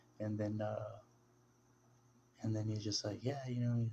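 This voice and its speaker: Soft-spoken and somewhat breathy, a man talks at a fairly quick pace in a gentle tone. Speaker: religious video blogger. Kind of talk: casual monologue. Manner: soft-spoken, low and gentle; halting, many fillers.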